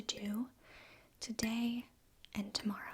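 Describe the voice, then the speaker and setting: A soft-spoken woman talks in a fairly high pitch with a monotone, flat intonation. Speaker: ASMR creator. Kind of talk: casual chat.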